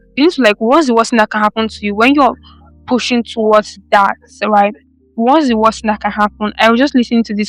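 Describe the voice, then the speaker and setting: Over music in the background, a woman talks at a very fast pace with a dry, close sound and no echo. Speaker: podcast host. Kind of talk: motivational monologue. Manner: animated.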